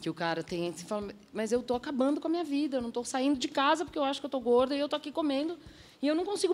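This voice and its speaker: Pitched high, a woman speaks at a very fast pace. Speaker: author and former reality show contestant. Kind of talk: TV talk show panel discussion. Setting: TV studio.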